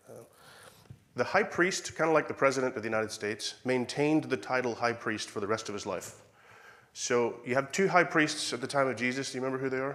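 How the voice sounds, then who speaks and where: With an Irish accent, a man at medium pitch speaks at a very fast pace with ordinary pitch variation. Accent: Irish accent, noticed by locals. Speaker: preacher. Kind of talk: sermon.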